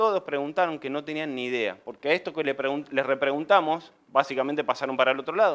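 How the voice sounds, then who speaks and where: Talking at a fairly quick pace with hardly any pauses, a man with a fairly high pitch shows ordinary pitch variation. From Argentina, Mendoza; Argentina. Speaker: civil engineer and construction business owner; presenter. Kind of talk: conference presentation. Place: meeting room.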